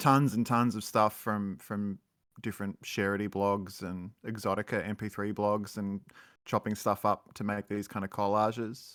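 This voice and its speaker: A man's fairly low, flat monotone with an Australian accent, at a moderate pace, on a very clean recording with a silent background. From Australia, Melbourne. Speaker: musician. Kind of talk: interview.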